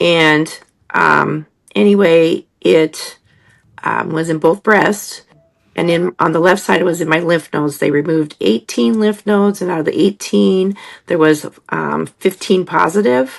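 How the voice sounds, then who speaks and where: A woman at a fairly low pitch with ordinary pitch variation and a fairly slow pace. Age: 60s. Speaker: hairdresser and cancer survivor. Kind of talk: personal testimony. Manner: halting, many fillers.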